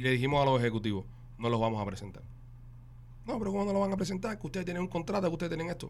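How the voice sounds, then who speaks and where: Amid audible room echo, a man with a fairly high voice races along at a very fast pace, with very wide pitch swings and long, frequent pauses. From Cuba. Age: 30s. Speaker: podcast host. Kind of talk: casual chat.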